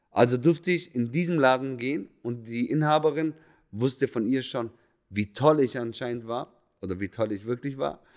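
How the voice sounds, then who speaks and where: A man at medium pitch with ordinary pitch variation and a moderate pace, on a very clean recording against a silent background. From Swabia, Germany. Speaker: hairdresser and podcaster. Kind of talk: personal storytelling monologue.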